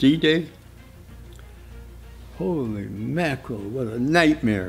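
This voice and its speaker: Faint music plays in the background as a man with a medium-pitched voice speaks very slowly, with lively intonation. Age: 80s+. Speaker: war veteran. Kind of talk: interview answer. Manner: halting, hesitant. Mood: vivid, emphatic recollection. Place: home room.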